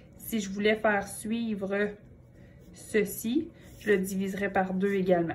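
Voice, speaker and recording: Speaking with a Quebec accent, a woman talks at a fairly slow pace and medium pitch, her voice somewhat breathy and her intonation fairly even. She leaves long, frequent pauses, and room echo is audible. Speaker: math teacher. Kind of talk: lecture.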